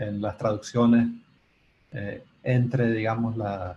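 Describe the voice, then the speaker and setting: Somewhat breathy male voice, fairly low in pitch, with a dark, mellow tone, monotone, flat intonation and a fairly slow pace. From Nicaragua. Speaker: composer. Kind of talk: Q&A discussion in online colloquium. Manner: halting, many repetitions.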